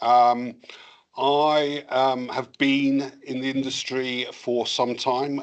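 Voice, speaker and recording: Over a quiet background, a man with a slight English accent speaks at a medium pitch. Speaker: cybersecurity vendor presenter. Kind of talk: webinar presentation. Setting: webinar.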